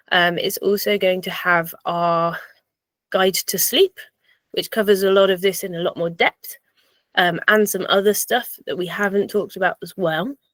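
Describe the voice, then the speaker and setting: A woman with an English accent, medium-pitched, fairly even in intonation, at a moderate pace, in a dry, close recording with no echo. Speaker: personal trainer and fitness coach. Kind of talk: online seminar presentation.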